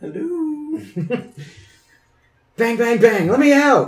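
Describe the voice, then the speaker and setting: Using a husky put-on character voice, a man speaks at an extremely high pitch and a very slow pace. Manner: muffled, shouting.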